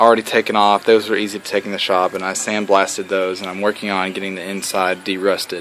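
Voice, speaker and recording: A man speaks fairly quickly in a fairly low, flat monotone. Noticeable background noise can be heard. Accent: Southern US. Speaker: hobbyist moped restorer, IT worker. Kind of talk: casual video blog walkthrough.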